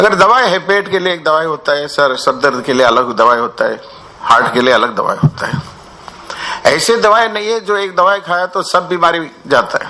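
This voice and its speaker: With noticeable background noise behind him, a man with an Indian accent speaks at a high pitch and a moderate pace, his pitch swinging very widely. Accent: Indian accent in his speech. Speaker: recovery program speaker. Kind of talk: workshop talk. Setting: workshop with audience. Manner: mixes Hindi and English, halting with fillers.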